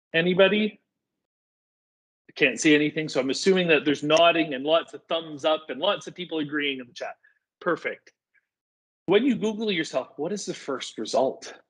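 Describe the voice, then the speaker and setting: A man with a Canadian accent speaks at a fairly quick pace and a high pitch. His loudness swings widely, and he leaves long, frequent pauses. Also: ordinary pitch variation. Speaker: digital communications volunteer presenter. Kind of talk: online workshop presentation. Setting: video call. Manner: energetic.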